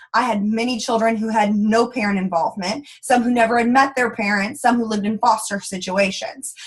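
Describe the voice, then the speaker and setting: In an American accent, a woman talks at a fairly quick pace with hardly any pauses. Her animated voice sits fairly high. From Texas. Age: 20s. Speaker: network marketing leader. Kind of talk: motivational training talk. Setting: conference call. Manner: fast.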